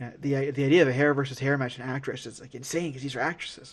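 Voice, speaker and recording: At a fairly high pitch, a man speaks with an American accent. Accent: New York, comes out at times. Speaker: wrestling podcast host. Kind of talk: casual chat. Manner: halting, many fillers and repeated words. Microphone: audio issues, quality changes from backup recording.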